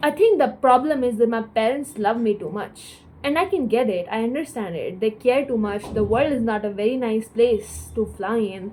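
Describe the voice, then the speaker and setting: With a dark, mellow tone and a fairly high pitch, a woman speaks at a moderate pace with ordinary pitch variation and hardly any pauses. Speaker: vlogger. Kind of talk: personal vlog monologue.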